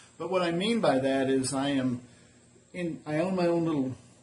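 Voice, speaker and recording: With audible room echo, a man with a fairly high pitch speaks at a moderate pace. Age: 60s. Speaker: semi-retired small business owner and vlogger. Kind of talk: casual vlog monologue. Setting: woodworking shop. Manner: halting, with many fillers.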